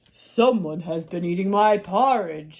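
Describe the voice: The delivery is fairly slow and sits at a middle pitch. It is a put-on character voice.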